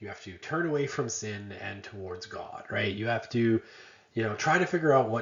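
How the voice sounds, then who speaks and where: A man speaks at medium pitch with lively intonation. His voice is somewhat breathy, and audible room echo surrounds it. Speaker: university lecturer. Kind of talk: lecture. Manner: animated, emphatic.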